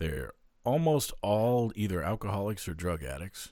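A man speaks in a very deep, low pitch. His voice carries vocal fry. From Maine. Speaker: podcast host. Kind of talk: casual banter.

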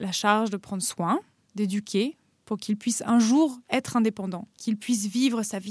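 Recorded very cleanly with a silent background and a dry, close sound without echo, a woman speaks in a fairly high, somewhat breathy voice with fairly even intonation. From France, Paris then Normandy. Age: 30s. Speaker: guest sharing personal story. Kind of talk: scripted narration.

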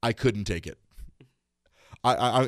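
The man speaks at a medium pitch. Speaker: podcast host. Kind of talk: casual chat. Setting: studio. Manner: loud; animated, laughing often.

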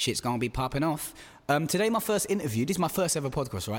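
A man is speaking. He has an East London accent. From East London (Stratford). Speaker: podcast host. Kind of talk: casual chat. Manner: animated.

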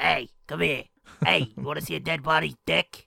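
A put-on character voice at a low-to-middle pitch. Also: moderate pace, very wide pitch swings. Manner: creepy, wacky, gleeful.

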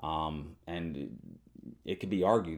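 This man's very deep, low voice has a dark, mellow tone, vocal fry and ordinary pitch variation. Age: 20s. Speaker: podcast host. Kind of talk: solo monologue reading listener responses. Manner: talkative, casual with fillers.

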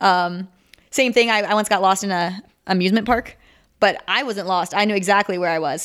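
At a fairly quick pace, a woman with an unremarkable speaking voice talks at a medium pitch with fairly even intonation. The recording is very clean, the background silent. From Minnesota. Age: 20s. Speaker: Olympic sport climber. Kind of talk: interview.

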